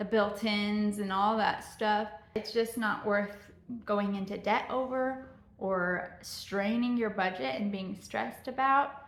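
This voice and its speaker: Speaking at a fairly slow pace, a woman uses ordinary pitch variation at a medium pitch, with audible room echo around her. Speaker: lifestyle vlogger, stay-at-home mom. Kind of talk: casual home vlog. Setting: at home, closet tour.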